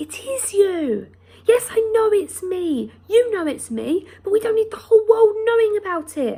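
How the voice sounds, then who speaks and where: A squeaky put-on character voice from a woman, extremely high in pitch, at a moderate pace. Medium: read story. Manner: fussy, bossy.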